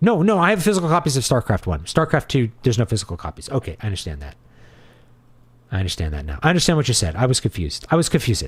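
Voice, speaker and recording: A man's very fast speech at medium pitch, with vocal fry and very wide pitch swings. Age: 40s. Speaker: livestream host answering chat. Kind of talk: casual livestream commentary reading chat. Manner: conversational, with filler words.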